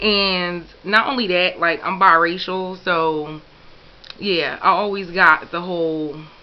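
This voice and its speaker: Here a woman speaks with an American accent. Her pitch is fairly low and her pace very slow. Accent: Philadelphia accent, noticed by others. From Philadelphia, US. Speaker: YouTuber. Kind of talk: casual questionnaire answers to camera. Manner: casual, filler-heavy.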